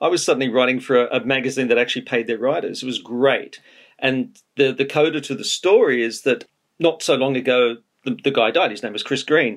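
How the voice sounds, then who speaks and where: Speaking at a fairly quick pace, a man with an Australian accent uses ordinary pitch variation. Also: medium pitch for a man. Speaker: music biographer. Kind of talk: interview. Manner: fast.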